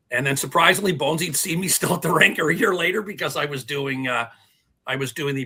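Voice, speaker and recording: A plain, everyday voice from a man with a Canadian accent, fairly high in pitch, at a moderate pace with ordinary pitch variation. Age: 60s. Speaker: TV hockey producer. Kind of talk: casual chat.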